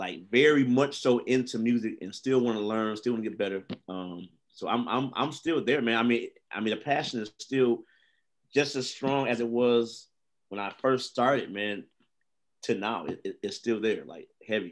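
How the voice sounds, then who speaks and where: A man with an American accent has an ordinary speaking voice, medium pitch and ordinary pitch variation. He keeps a moderate pace in a very clean recording with a silent background. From Michigan. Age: 30s. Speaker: drummer and bass player. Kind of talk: interview.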